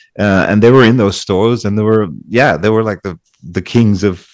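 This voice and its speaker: On a very clean recording with a silent background, a man with a Dutch accent speaks at a fairly low pitch and a moderate pace, his intonation fairly even. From eastern Netherlands. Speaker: DJ and producer. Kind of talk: interview. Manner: halting, many repetitions.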